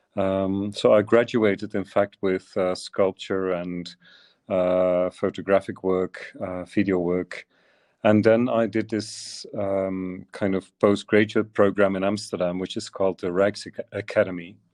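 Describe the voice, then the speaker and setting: A man with a Dutch accent, fairly low in pitch and monotone, flat in intonation, at a fairly slow pace, over a quiet background with a dry, close sound and no echo. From Flanders, Belgium (Turnhout). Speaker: visual artist. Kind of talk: interview. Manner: halting, many fillers.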